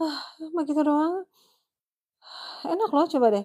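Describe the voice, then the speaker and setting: Lively intonation colors a woman's speech at a moderate pace. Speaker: live streamer. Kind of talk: casual live stream chat. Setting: solo live stream. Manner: chatty, nonstop talking.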